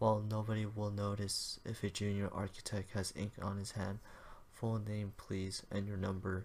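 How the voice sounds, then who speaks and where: At a moderate pace, a man speaks with a fairly low pitch and monotone, flat intonation. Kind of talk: fanfiction reading to camera, casual and narrated.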